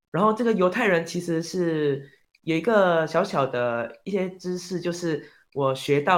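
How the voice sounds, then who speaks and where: A man with a high pitch at a fairly slow pace, on a very clean recording with a silent background. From Malaysia. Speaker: performing arts student, actor. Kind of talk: interview.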